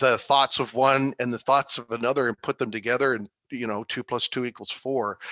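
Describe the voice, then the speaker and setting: In a dry, close sound with no echo and a quiet background, a man speaks with an enthusiastic tone at a medium pitch and a moderate pace. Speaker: patient advisory board chair with Parkinson's. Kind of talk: presentation talk. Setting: virtual online event.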